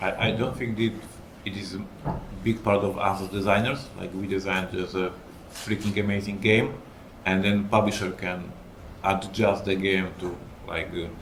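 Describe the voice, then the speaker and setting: The delivery is monotone and flat, somewhat breathy, at a moderate pace. Long, frequent pauses break it up, and audible room echo surrounds it. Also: man, fairly low pitch for a man. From Poland. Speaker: game designer and publisher. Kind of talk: panel discussion.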